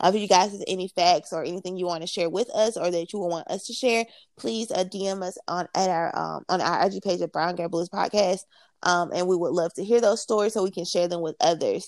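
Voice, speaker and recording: This woman has a medium-pitched voice and a fairly quick pace. The recording is very clean and dry, close with no echo, over a silent background. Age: 20s. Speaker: podcast co-host. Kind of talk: casual chat. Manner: animated.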